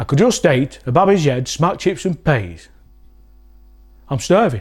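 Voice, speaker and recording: Vocal fry runs through this voice with a Lancashire accent. The pitch swings very widely at a fairly slow pace. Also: man. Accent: Wigan, Lancashire dialect. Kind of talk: comedic dialect lesson to camera.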